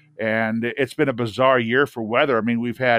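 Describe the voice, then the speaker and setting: A man speaks with a Midwestern US accent. His pitch is medium. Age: 60s. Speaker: retired radio broadcaster. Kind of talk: casual interview.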